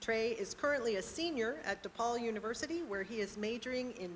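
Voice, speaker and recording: A woman speaks in a normal speaking voice at a moderate pace. Her pitch sits fairly high. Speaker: poetry event host. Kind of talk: event introduction.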